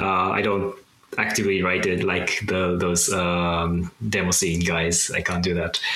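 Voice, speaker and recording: A man with a Japanese accent and a very deep, low pitch speaks at a fairly slow pace in a flat monotone, with very even loudness. Audible room echo and noticeable background noise fill the recording. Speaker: coder and digital artist. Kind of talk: casual interview. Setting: video call.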